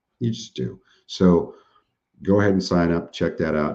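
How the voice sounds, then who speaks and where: A man's very deep, low voice, dark and mellow in tone, with vocal fry. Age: 50s. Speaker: webinar presenter, surplus funds business owner. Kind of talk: live webinar training and Q&A. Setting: live online webinar with chat. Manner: casual, conversational.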